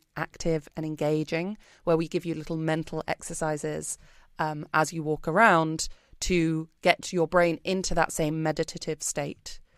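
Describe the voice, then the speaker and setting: A woman with a British accent speaks in a very deep, low, monotone voice on a very clean, dry, close recording with a silent background and no echo. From Britain. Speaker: wellbeing company founder. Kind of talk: casual interview chat.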